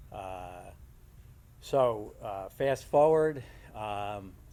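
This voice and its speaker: A man with a New Jersey accent, fairly low in pitch, with a dark, mellow tone. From New Jersey, Bridgewater. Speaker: retired steamfitter. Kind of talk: informal talk to apprentices. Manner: halting.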